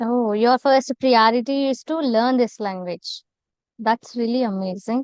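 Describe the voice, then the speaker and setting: With an Indian accent, a woman speaks high-pitched at a fairly slow pace with ordinary pitch variation, in a dry, close sound with no echo. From India, Telangana. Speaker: content creator, English practice host. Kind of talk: casual conversation practice.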